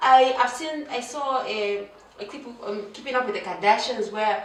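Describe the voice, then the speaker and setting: Over noticeable background noise and audible room echo, a woman with a high pitch speaks at a fairly slow pace in an animated tone with lively intonation. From Zambia. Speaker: vlogger. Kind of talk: casual vlog monologue. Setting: home, seated on a chair. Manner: animated, conversational with many fillers.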